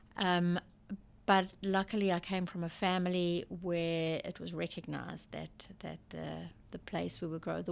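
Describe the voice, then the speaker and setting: A fairly slow delivery with a South African accent. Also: woman. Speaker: school principal. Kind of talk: interview conversation. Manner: halting.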